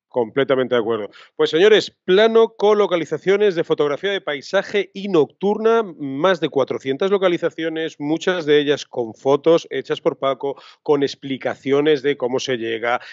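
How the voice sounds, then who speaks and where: Over a quiet background with a dry sound and no echo, a man with an ordinary speaking voice speaks at a moderate pace and fairly high pitch, hardly pausing. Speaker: podcast host, photography teacher. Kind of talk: casual chat. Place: home room. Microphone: studio mic.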